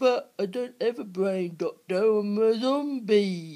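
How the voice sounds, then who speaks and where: A put-on character voice, fairly high in pitch, moves at a fairly slow pace. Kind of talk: comedy skit dialogue.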